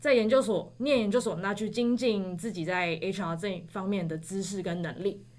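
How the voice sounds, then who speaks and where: With a Taiwanese accent, a woman of medium pitch speaks at a moderate pace with ordinary pitch variation and hardly any pauses. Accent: Taiwanese Mandarin. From Taiwan, Taipei. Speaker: graduate student. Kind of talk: casual chat.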